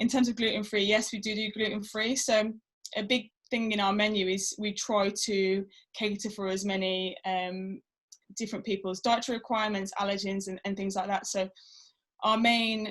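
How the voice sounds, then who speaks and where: On a very clean recording with a silent background, a woman speaks at medium pitch in a somewhat breathy, monotone, flat delivery. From Birmingham, English Midlands. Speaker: rugby player and food business owner. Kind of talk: interview. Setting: video podcast. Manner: hesitant, many fillers.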